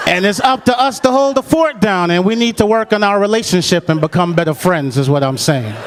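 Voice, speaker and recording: A man with a high pitch talks at a fairly quick pace with hardly any pauses, keeping his loudness very even. His pitch swings very widely over noticeable background noise. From Jamaica. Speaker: stand-up comedian. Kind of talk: stand-up comedy routine. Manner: smooth, quick-witted.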